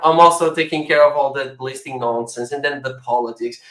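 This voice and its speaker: A man with a non-native accent, a fairly high pitch and a bright, sharp tone. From Portugal. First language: not English. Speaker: crypto project founder. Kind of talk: panel discussion.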